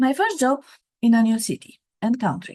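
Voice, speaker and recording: A woman with a Romanian accent speaks at a moderate pace in a dark, mellow, fairly high voice with very wide pitch swings, over a quiet background. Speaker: author and career coach. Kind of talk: reading aloud from own book.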